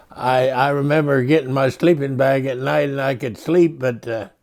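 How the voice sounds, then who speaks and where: A man talks with a Midwestern accent. His pitch is medium. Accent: American Midwestern. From rural Illinois and Colorado, USA. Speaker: World War II veteran. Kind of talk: interview answer.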